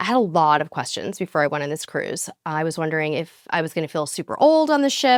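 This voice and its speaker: A woman talks at a very fast clip with lively intonation, an upbeat tone and hardly any pauses, her pitch fairly low. The sound is dry and close with no echo, on a very clean recording with a silent background. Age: 50s. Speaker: cruise vlogger. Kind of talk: casual talk to camera.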